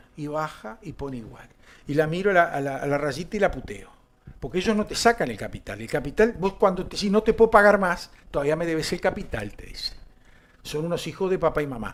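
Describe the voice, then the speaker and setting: Someone with a Uruguayan accent speaks at a fairly quick pace, with lively intonation and big swings in loudness. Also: man, high pitch for a man. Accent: Uruguayan Rioplatense Spanish. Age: 60s. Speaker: political talk show host. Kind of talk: political commentary chat. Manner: animated.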